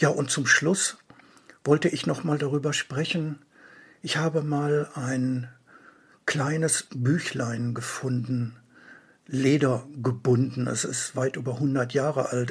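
Speaking very slowly with long, frequent pauses, a man uses a medium-pitched, somewhat breathy voice with fairly even intonation. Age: 60s. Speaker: book author. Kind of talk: event announcement.

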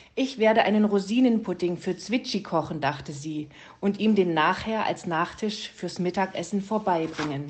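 The clip consists of plain reading aloud. Its pitch moves in an ordinary way.

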